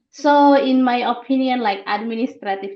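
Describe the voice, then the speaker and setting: A woman with an Indonesian accent speaks at a moderate pace with lively intonation. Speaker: researcher, international student. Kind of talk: podcast interview.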